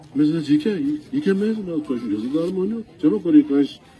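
Over light background noise, the speaker moves at a fairly quick pace with very wide pitch swings. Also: man. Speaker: political candidate. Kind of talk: rally speech. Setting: outdoor public rally. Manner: animated, fervent, persuasive. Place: open country. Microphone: handheld.

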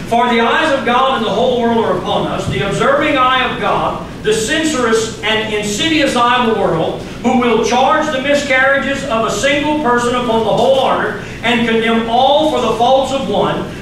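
In an American accent, a man talks at a moderate pace with an extremely high pitch, ordinary pitch variation, and hardly any pauses, amid light background noise and strong room echo. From US South, Louisiana. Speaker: pastor. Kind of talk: sermon. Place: church.

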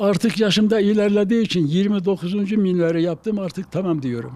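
This is a man speaking. His pace is moderate. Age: 90s. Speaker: retired carpenter. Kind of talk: interview.

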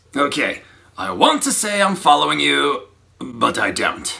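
At a moderate pace, a man delivers a raspy, put-on character voice. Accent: British.

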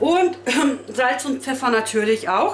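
There is audible room echo and light background noise as a woman speaks at a fairly slow pace with a high pitch. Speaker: home cook vlogger. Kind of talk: casual vlog chat. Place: kitchen. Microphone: camera far.

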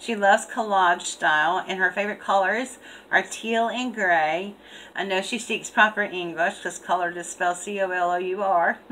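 Over light background noise, a woman speaks at a fairly slow pace in a bright, sharp tone. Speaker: craft channel host. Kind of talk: casual vlog chat, reading a letter aloud. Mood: cheerful, laughing. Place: home room. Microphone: webcam.

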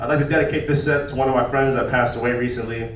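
A man's animated, very fast speech amid noticeable background noise and audible room echo. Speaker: stand-up comedian. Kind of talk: stand-up comedy. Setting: stage with audience. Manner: animated, punchy crude delivery. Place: stage.

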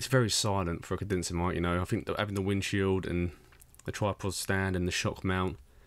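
Low in pitch, a man talks at a fairly quick pace with little pitch movement.

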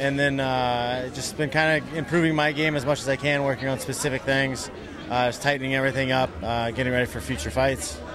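With ordinary pitch variation, a man talks at a fairly quick pace in a dry sound with no echo, over noticeable background noise. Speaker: interviewee. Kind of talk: interview answer. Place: hall.

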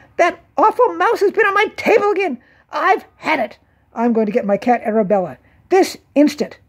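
A put-on character voice, high-pitched, with very wide pitch swings at a moderate pace. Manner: squealing, indignant.

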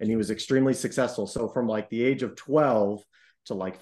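A man's medium-pitched voice with an American accent, slightly mellow in tone, fairly quick in pace and with ordinary pitch variation

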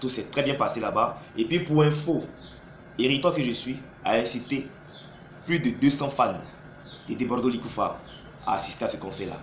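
An animated man with a fairly high pitch and ordinary pitch variation, long pauses coming often, audible room echo and light background noise around him. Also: moderate pace. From Côte d'Ivoire. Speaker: YouTube commentator; video blogger. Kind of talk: vlog monologue. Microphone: phone near.

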